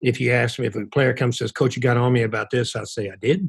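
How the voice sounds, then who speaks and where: Over a silent background on a very clean recording, a man with a medium pitch speaks at a fairly quick pace. His voice is somewhat breathy and his intonation fairly even. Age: 60s. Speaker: college basketball coach. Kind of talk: interview.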